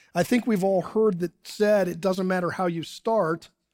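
This voice has a US Midwestern accent and moves at a moderate pace. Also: man. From Ohio, US Midwest (Dayton). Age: 60s. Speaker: pastor. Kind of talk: sermon. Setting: church service streamed online.

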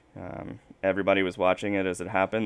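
The recording is very clean, and the background is silent. A man with an American accent talks in a very deep, low pitch. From South Carolina. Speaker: militia researcher. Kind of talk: interview.

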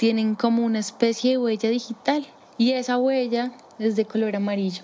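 A woman speaks with a fairly high pitch. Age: 30s. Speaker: primatologist. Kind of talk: personal storytelling. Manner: hesitant, with fillers.

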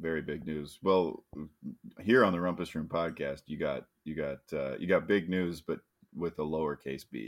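Speaking at a moderate pace, a man with a very deep, low voice shows vocal fry and ordinary pitch variation. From US Midwest. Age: 30s. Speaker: podcast co-host. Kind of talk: casual chat.

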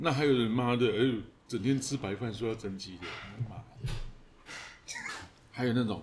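In a Taiwanese accent, a man at medium pitch talks at a moderate pace amid noticeable background noise and audible room echo. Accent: Taiwanese Mandarin. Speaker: fitness coach. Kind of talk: casual chat.

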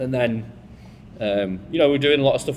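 A man with a Lancashire accent, fairly low in pitch, with lively intonation. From Bolton, northern England. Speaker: bar manager. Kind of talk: panel conversation. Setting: live event with audience.

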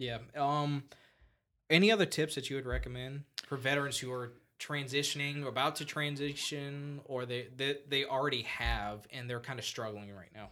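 On a very clean recording with a silent background, a man speaks in a plain, everyday voice at fairly high pitch and a moderate pace, with ordinary pitch variation and big swings in loudness. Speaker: podcast host. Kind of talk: interview, casual chat.

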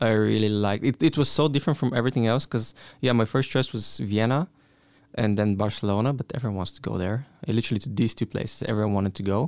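With a Bulgarian accent, a man speaks at a very fast pace. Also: medium pitch for a man, ordinary pitch variation. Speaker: exchange student. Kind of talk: casual chat.

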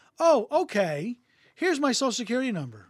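Captured in a very clean recording with a silent background, the speaker talks at a fairly quick pace with an American accent. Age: 50s. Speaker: podcast host. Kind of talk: casual chat. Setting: studio, streamed live on Facebook.

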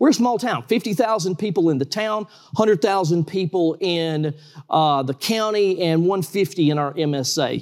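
Here a man with a Georgia accent talks at a high pitch with lively intonation and a moderate pace. The recording is very clean, with a silent background. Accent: US Southern (Georgia). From South Georgia, US. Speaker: trampoline park owner, former lawyer. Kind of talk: interview.

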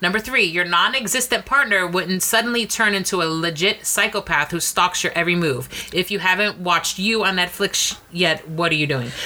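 Fairly quick and with hardly any pauses, a woman of medium pitch speaks at very even loudness with ordinary pitch variation over noticeable background noise. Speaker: podcast co-host. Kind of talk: casual comedic banter. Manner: sarcastic, playful.

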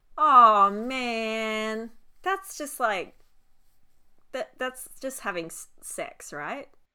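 A woman speaks very slowly in a strong Australian accent, with long, frequent pauses and big swings in loudness. Her fairly high, bright, sharp voice swings very widely in pitch on a very clean recording with a silent background. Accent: broad Australian (Ocker). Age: 20s. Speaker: podcast co-host. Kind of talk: casual chat.

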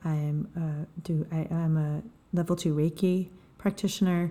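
On a very clean recording with a silent background, a woman speaks in a somewhat breathy voice, very deep and low in pitch, with a dark, mellow tone and monotone, flat intonation. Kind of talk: guided meditation.

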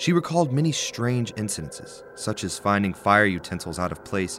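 Fairly quick speech from a man with a fairly low voice and very wide pitch swings, over noticeable background noise. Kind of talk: scripted narration. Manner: measured, storyteller's narration.

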